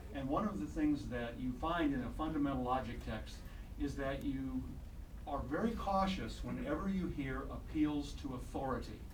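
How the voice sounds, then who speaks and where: In a Midwestern US accent, a man speaks at a moderate pace amid noticeable background noise and audible room echo. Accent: US Midwest. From Iowa/Illinois, US Midwest. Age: 60s. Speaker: doctor and health radio broadcaster. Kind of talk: public comment at city council. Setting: city council meeting. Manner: halting, with fillers.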